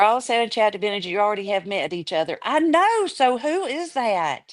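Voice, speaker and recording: In a Southern US accent, a woman speaks at a moderate pace with a fairly high pitch and very wide pitch swings. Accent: Southern American. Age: 60s. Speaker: livestream chat participant. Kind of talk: casual chat.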